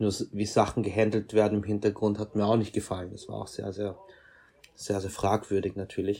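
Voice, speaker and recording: A man with a fairly low pitch sounds somewhat breathy and speaks at a fairly quick pace. His intonation is monotone and flat, while his loudness swings widely. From Austria, Vienna. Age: 30s. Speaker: fashion photographer. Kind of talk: interview.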